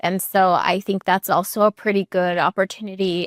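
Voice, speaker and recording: A very clean recording, silent background, and a moderate speaking pace. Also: woman. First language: not English. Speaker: podcast host. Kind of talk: casual interview chat.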